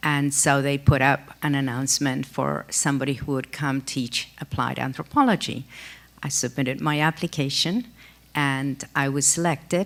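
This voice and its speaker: A woman talks at a moderate pace in a very deep, low pitch. Her intonation stays fairly even, with vocal fry. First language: Spanish. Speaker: anthropology professor. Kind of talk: panel discussion.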